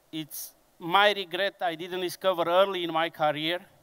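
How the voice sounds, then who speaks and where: A man speaks with a Romanian accent at a very slow pace. His pitch is high. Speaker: conference speaker, engineering business director. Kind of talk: conference presentation. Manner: slow, deliberate; hesitant with fillers.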